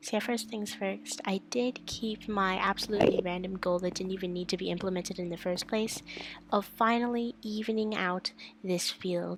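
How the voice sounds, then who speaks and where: Quiet and at a moderate pace, a woman talks at a medium pitch with fairly even intonation. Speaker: gaming YouTuber. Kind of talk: gameplay commentary. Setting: home bedroom, late night. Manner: hushed, quiet. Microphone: mic very close, breathing audible.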